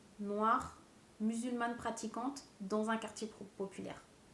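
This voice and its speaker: A woman speaks at a moderate pace in a fairly high pitch, her intonation monotone and flat, with audible room echo around her. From Seine-Saint-Denis, Paris suburbs. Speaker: documentary interviewee. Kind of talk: interview testimony.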